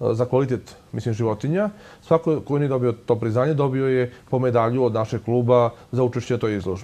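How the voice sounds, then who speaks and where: The speaker is a man with a dark, mellow tone. He talks at a very fast pace. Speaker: guest. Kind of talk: interview answer. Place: studio. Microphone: lapel.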